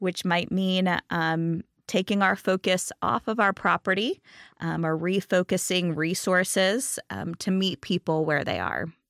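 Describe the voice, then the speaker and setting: A woman with an ordinary speaking voice talks at a fairly slow pace, her medium pitch set in fairly even intonation. The recording is very clean, with a silent background and a dry, close sound with no echo. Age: 40s. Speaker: pastor. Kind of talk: sermon.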